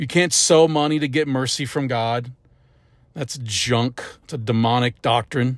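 A man with a Midwestern American accent and medium pitch speaks at a fairly slow pace on a very clean recording with a silent background. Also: ordinary pitch variation. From US Midwest, St. Louis area, Missouri. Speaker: preacher. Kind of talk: sermon. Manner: halting, with frequent fillers and restarts.

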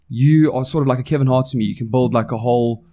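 A man with a South African accent talks at a very fast pace in a medium pitch, his tone dark and mellow. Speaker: podcast host. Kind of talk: casual chat. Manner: animated.

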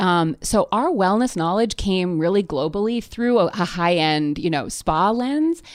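A woman with a normal speaking voice talks at a fairly slow pace and medium pitch, with lively intonation and hardly any pauses. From Canada, near Toronto. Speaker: media entrepreneur and editor. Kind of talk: casual interview. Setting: in person, face to face.

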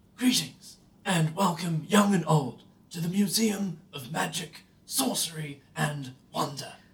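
Delivered fairly slowly, the put-on character voice holds a middle pitch. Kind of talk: theme park presenter, showman. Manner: grand, welcoming, salesman-like.

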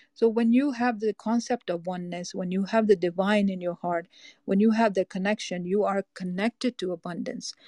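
Talking at a fairly quick pace, a woman with an American accent sounds somewhat breathy, with a dark, mellow tone and fairly even intonation. The sound is dry and close, with no echo. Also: medium pitch for a woman, very clean recording, silent background. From US Northeast, Boston. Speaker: life coach and therapist. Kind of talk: interview.

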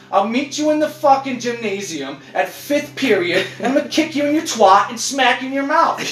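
Speaking at a moderate pace with lively intonation, a man with an extremely high pitch is heard over noticeable background noise. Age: 30s. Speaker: podcast host. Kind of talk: casual chat. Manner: animated.

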